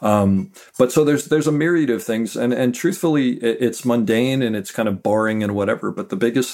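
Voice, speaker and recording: On a very clean recording with a silent background, a man talks at a fairly quick pace with ordinary pitch variation in an ordinary speaking voice. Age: 50s. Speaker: Steadicam operator. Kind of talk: interview.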